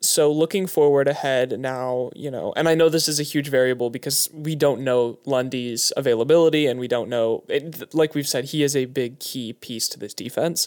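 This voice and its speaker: An ordinary speaking voice at a moderate pace. The intonation stays fairly even. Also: man, fairly high pitch for a man. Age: 20s. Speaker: sports journalist. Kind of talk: casual chat. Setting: home studio.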